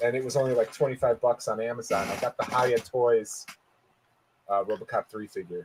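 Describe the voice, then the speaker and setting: An unremarkable speaking voice: a man at medium pitch, fairly quick pace and fairly even intonation, in a dry, close sound with no echo. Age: 40s. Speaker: podcast co-host, toy collector. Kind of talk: casual chat.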